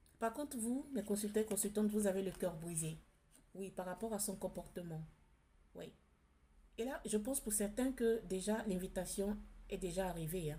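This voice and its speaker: A woman speaks at a moderate pace with long, frequent pauses. Her somewhat breathy voice has a dark, mellow tone and ordinary pitch variation. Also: medium pitch for a woman. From outside France. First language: not French (speaking French). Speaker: tarot card reader. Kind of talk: spiritual card reading. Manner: hesitant, many fillers and repetitions.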